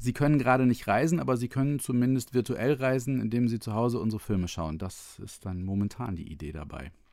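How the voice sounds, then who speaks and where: A man's very fast, medium-pitched delivery with lively intonation and hardly any pauses, on a very clean recording with a silent background. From northern Germany, Otterndorf near Cuxhaven. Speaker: travel filmmaker. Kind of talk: casual interview.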